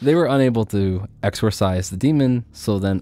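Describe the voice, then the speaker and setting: With a normal speaking voice, a man talks at a fairly low pitch and ordinary pitch variation. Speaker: podcast host. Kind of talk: casual conversational storytelling.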